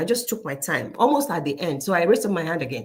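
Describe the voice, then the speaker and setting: A woman speaks very fast with a Nigerian accent. Her voice is somewhat breathy and has very wide pitch swings. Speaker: career coach. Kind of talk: casual talk to camera with storytelling. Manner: animated.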